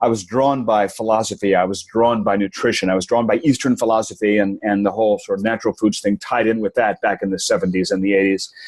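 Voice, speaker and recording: Fairly low-pitched and very fast, a man talks with hardly any pauses and fairly even intonation. His loudness stays very even over noticeable background noise. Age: 60s. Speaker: best-selling author. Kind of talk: interview. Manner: halting, many repeated words.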